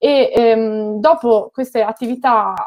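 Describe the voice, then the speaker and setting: The woman's pitch is high, with ordinary pitch variation. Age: 30s. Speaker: political commentator and former local councillor. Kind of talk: interview.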